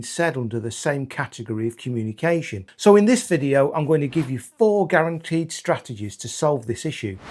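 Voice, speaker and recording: Delivered in a plain, everyday voice, a man's fairly high speech moves at a fairly quick pace with hardly any pauses. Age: 50s. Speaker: ADHD content creator. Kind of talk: educational talk to camera.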